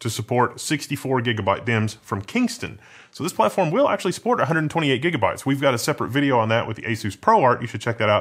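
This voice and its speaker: Talking at a very fast pace with hardly any pauses, a man uses lively intonation. The background is quiet. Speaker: tech reviewer. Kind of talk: tech review commentary. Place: studio.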